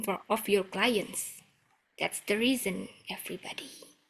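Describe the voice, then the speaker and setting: A woman speaks with a strong Indonesian accent. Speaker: webinar host. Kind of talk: online webinar Q&A.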